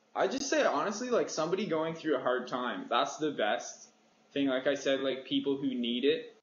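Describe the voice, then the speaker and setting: A man with a Canadian accent speaks at a fairly high pitch, with very wide pitch swings and very even loudness. Noticeable background noise sits behind him. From Canada (Ontario). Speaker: singer-songwriter. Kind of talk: interview. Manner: quiet, easygoing.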